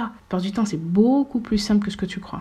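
A woman's somewhat breathy voice at medium pitch, with ordinary pitch variation and a moderate pace. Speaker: podcast host. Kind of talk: motivational monologue.

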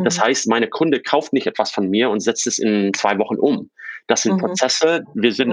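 Lively intonation marks this moderately paced speech. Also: man. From US East Coast, born in Czechoslovakia. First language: English (Slovak as a small child) (speaking German). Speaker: fintech founder. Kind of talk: interview. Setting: remote call.

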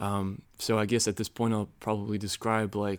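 A man with a fairly low pitch and a plain, everyday voice is heard on a very clean recording with a silent background. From US Midwest, Chicago. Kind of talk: casual chat.

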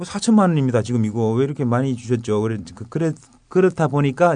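An ordinary speaking voice from a man, medium in pitch, with lively intonation. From North Gyeongsang, South Korea. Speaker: former government official, whistleblower. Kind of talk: interview.

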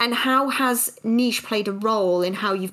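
Over noticeable background noise, a woman speaks at a moderate pace with a fairly high pitch. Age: 30s. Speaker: podcast host and small business owner. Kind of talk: casual interview chat; scripted narration.

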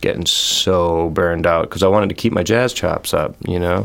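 A man talks at a fairly quick pace in a plain, everyday voice, his intonation fairly even. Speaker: jazz guitarist. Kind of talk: interview.

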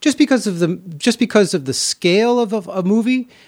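A man talks with an American accent. His pace is fairly quick. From New York, then Los Angeles. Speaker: film composer and musician. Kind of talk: casual chat.

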